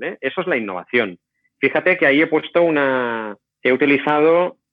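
A man's pitch leaps up and down dramatically while his tempo stays middling. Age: 40s. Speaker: innovation executive and professor. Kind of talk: interview.

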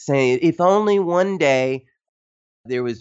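Here a man speaks in a Tennessee accent. He goes at a fairly slow pace with ordinary pitch variation. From Tennessee, US South. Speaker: journalist and author. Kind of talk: interview conversation.

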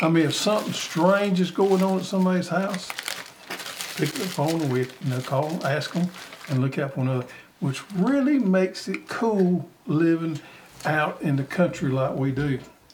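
A man speaks with a Southern US accent, his pitch high for a man. Noticeable background noise runs under his voice. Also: lively intonation, moderate pace. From US South. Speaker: gardening show host. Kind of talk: casual chat.

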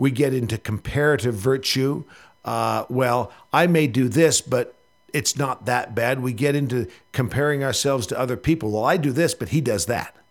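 A man's medium-pitched voice with vocal fry and ordinary pitch variation, in a very clean recording with a silent background. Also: moderate pace. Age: 50s. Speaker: rugby coach. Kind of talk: radio interview.

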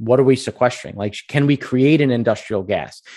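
With an American accent, a man speaks at a fairly quick pace in a plain, everyday voice with ordinary pitch variation over a quiet background. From US Northeast, Long Island. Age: 30s. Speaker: energy investor and company founder. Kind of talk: casual interview chat. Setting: video call.

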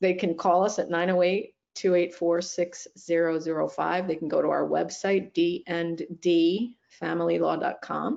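At a moderate pace with few pauses, a woman speaks at a fairly low pitch, her fairly even intonation and slightly mellow tone touched by vocal fry.

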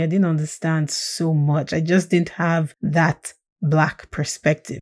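With a dark, mellow tone, a woman talks at a moderate pace. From Nigeria (Plateau State, north). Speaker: writer and podcaster. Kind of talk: personal testimony interview.

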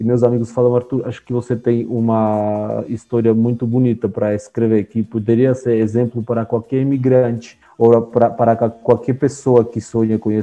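With music in the background, a man speaks in an Armenian accent at a moderate pace. His medium-pitched voice carries monotone, flat intonation. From Armenia (Soviet Union). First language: Armenian (speaking Portuguese). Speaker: author. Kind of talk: interview.

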